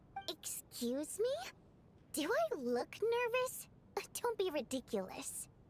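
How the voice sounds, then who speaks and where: Against clear background noise, a woman in a put-on character voice at an extremely high pitch speaks at a fairly slow pace with very wide pitch swings and long, frequent pauses. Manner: defensive, haughty, hiding nervousness.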